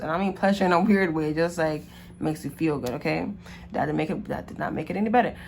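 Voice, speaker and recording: A normal speaking voice from a woman, fairly low-pitched and with ordinary pitch variation. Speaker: tarot card reader. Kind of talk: casual monologue to camera.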